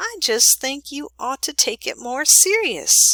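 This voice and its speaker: A woman puts on a character voice, pitched high, with very wide swings up and down. She speaks fairly slowly, and the sound is dry and close with no echo. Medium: read story. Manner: measured, earnest.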